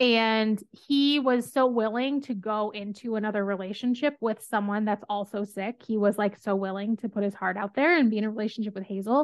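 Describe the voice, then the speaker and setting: A plain, everyday voice from a woman, fairly high in pitch, at a fairly quick pace with fairly even intonation and hardly any pauses. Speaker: podcast host. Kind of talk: casual book discussion podcast.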